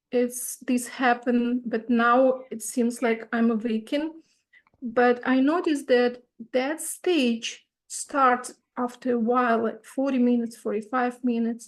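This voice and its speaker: This woman speaks with a non-native accent. Her pitch is high and her intonation fairly even. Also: fairly slow pace. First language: not English. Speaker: retreat participant asking a question. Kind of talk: Q&A question.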